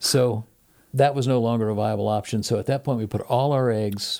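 A man with an American accent speaks at a moderate pace in a medium pitch. He has an unremarkable speaking voice and fairly even intonation. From US Midwest, Ohio. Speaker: university professor and former radio host. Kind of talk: casual interview.

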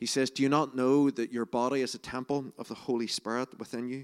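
With a Northern Irish accent, the speaker talks at a moderate pace in monotone, flat intonation, on a very clean, dry, close recording with no echo and a silent background. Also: man. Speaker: preacher. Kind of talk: sermon. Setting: church.

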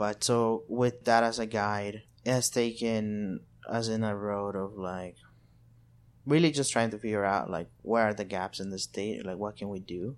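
Fairly low male voice with a Spanish accent and fairly even intonation, on a very clean recording against a silent background. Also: moderate pace. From El Salvador. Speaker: community organizer. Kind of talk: interview.

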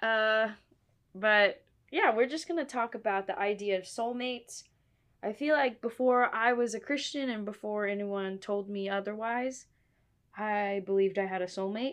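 This woman has a plain, everyday voice, fairly high in pitch, with ordinary pitch variation and a moderate pace. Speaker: podcast host. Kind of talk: casual chat.

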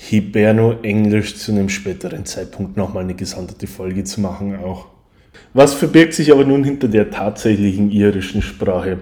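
A man talks at a moderate pace with a fairly low pitch and ordinary pitch variation. His tone is dark and mellow, and his loudness swings widely. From Bavaria, Germany. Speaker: podcast host. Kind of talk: solo podcast monologue.

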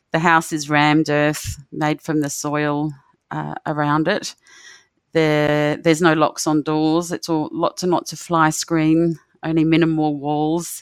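A woman with an Australian accent speaks fairly slowly in a very deep, low voice with monotone, flat intonation. The recording is very clean with a silent background. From Australia, Northern Territory (near Darwin). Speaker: rural doctor. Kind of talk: personal storytelling. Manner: warm.

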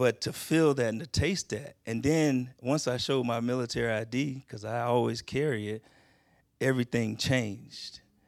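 A man speaks at a moderate pace with an American accent, in a normal speaking voice of medium pitch. His intonation stays fairly even, and the recording is very clean with a silent background. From Texas, Houston. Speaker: military veteran, church member. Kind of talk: on-stage interview in church. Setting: church stage with audience.

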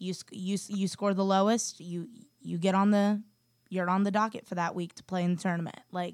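A woman's unremarkable speaking voice at a medium pitch with an American accent, fairly even intonation and a moderate pace, dry and close with no echo in a very clean recording with a silent background. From US Midwest (northeast Ohio). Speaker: student podcast editor. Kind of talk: casual chat.

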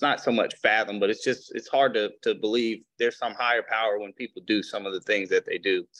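With a Mississippi accent, a man talks at a fairly quick pace with hardly any pauses, in a dry, close sound with no echo and a quiet background. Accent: Southern US (Mississippi). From US South, Mississippi Gulf Coast. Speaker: attorney. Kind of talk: testimony.

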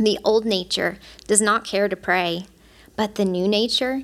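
A woman with a medium pitch talks fairly slowly. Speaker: church teacher speaking on mercy. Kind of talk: Bible study teaching. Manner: excited.

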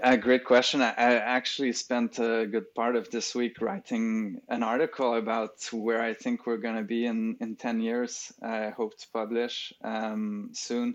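In a French accent, a man speaks at a medium pitch and a fairly slow pace with hardly any pauses, his intonation monotone and flat. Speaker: speech recognition expert. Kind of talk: interview, conversational. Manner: hesitant, filler-heavy.

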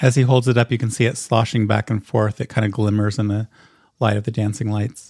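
In a very clean recording with a silent background, a man at a medium pitch talks at a fairly quick pace in an animated, playful tone. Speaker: game master. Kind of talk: tabletop RPG game master narration, describing scenes. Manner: vivid, descriptive, atmospheric; animated, laughing, playful.

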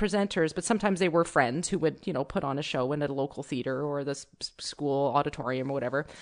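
Nothing disturbs the quiet background. The words pour out very fast. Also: woman. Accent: Canadian. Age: 40s. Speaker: folk musician. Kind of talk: casual chat.

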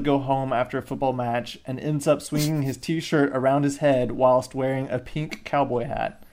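This man has a plain, everyday voice, pitched fairly high and moving at a moderate pace. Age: 20s. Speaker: podcast guest. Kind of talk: casual chat.

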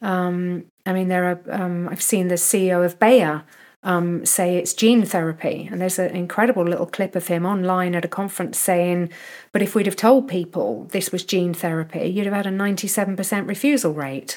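With a British accent, a woman speaks at a fairly quick pace and a medium pitch, with ordinary pitch variation. The recording is very clean, with a silent background. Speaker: nutrition researcher. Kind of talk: casual chat.

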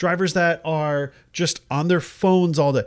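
A loud man is heard on a very clean recording against a silent background. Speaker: podcast co-host. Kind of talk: casual chat.

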